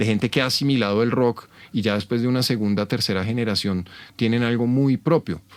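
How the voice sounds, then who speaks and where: A man with a Bogotá accent speaks at a moderate pace and a fairly low pitch with ordinary pitch variation. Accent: Bogotá Colombian Spanish. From Colombia, Bogotá. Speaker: rock and blues musician. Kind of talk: interview, casual chat. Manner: hesitant, many fillers.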